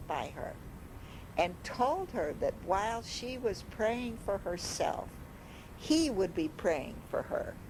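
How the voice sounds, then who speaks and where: Very slowly and with very wide pitch swings, a woman speaks in an American accent over noticeable background noise. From Chicago. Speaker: retired high school English teacher. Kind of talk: personal reminiscence narration. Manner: reflective, earnest.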